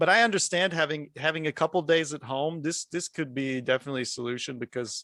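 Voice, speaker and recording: Loud and very fast with hardly any pauses, a man's fairly high, bright, sharp voice shows ordinary pitch variation in a dry, close sound with no echo. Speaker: guest speaker on a 3D design community show. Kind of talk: casual panel discussion.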